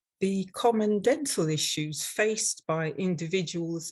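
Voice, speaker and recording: A woman talks at a fairly slow pace with an English accent and lively intonation. Her voice is somewhat breathy over a quiet background. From London, England. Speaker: dental hygienist and instructor. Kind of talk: webinar presentation.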